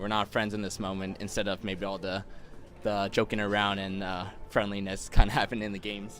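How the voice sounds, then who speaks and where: With music in the background, a man with a fairly low pitch speaks at a fairly quick pace in a monotone, flat intonation. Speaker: interviewer. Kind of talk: interview question. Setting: outdoors.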